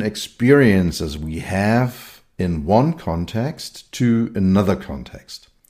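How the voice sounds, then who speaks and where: With a German accent, a man speaks very slowly at a fairly low pitch in a dark, mellow tone, on a very clean recording with a silent background. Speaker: podcast host and technology consultant. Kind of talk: solo podcast monologue. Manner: hesitant with many fillers.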